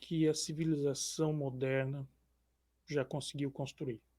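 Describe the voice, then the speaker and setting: Soft-spoken and calm in tone, a man talks in a fairly high voice with fairly even intonation. The recording is very clean, with a silent background. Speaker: social scientist and columnist. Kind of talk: interview.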